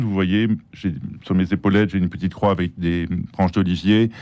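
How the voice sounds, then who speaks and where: With fairly even intonation, a man speaks at a moderate pace and a fairly low pitch. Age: 60s. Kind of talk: interview. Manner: halting.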